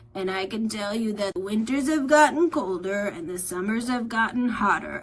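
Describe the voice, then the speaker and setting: Putting on a character voice, a woman speaks at a fairly high pitch. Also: moderate pace. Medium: read story. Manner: slow.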